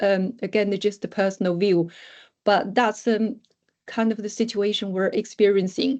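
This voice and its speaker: A woman with a non-native accent speaks at a moderate pace in a medium-pitched voice. Her intonation is monotone and flat. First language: not English. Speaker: academic researcher. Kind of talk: lecture. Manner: halting.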